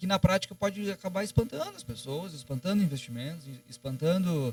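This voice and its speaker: A man's pitch swings very widely as he speaks. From Rio de Janeiro, raised mostly in Rio Grande do Sul. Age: 30s. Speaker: economist and political strategist. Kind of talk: podcast interview. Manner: hesitant, many fillers.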